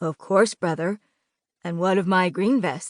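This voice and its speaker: Using a raspy, put-on character voice at medium pitch, a woman speaks at a moderate pace. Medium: read story. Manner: curt, grumbling.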